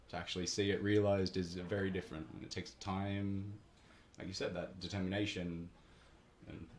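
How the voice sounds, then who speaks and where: A man speaks at a very deep, low pitch and a fairly quick pace, with fairly even intonation. His voice is somewhat breathy, broken by long, frequent pauses. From Australia, Canberra. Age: 20s. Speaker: barista and coffee roaster. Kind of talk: radio interview. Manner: hesitant, many fillers.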